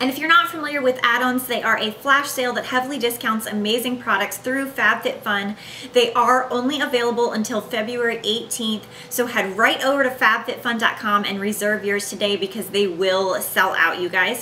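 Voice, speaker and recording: Through noticeable background noise, a woman talks at a fairly quick pace with hardly any pauses, in a fairly high pitch with ordinary pitch variation. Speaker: beauty YouTuber. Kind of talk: sponsored product review. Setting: home living room. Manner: animated; kept quiet.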